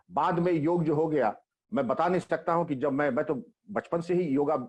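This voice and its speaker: This is a plain, everyday voice from a man with a fairly high pitch. He talks at a moderate pace with ordinary pitch variation. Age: 60s. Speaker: retired police chief. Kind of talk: interview.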